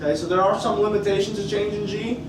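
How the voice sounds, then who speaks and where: High-pitched male voice amid noticeable background noise and audible room echo. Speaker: chemistry teacher. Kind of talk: classroom lecture. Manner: casual, conversational.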